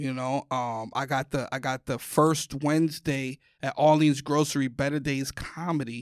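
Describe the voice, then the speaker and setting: In a New York accent, a man with a fairly high pitch talks at a moderate pace in a flat monotone with hardly any pauses, on a very clean recording with a silent background and a dry, close sound with no echo. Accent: New York (Bronx). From New York, the Bronx. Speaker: comedian. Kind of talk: casual chat. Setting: studio.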